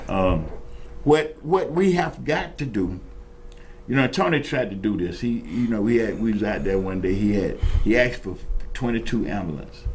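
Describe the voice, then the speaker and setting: A man with an American accent talks with lively intonation. Audible room echo surrounds his voice. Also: medium pitch for a man, moderate pace. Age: 70s. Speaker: talk show host and Vietnam veteran. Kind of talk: casual talk show discussion. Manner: animated, repetitive stammering restarts.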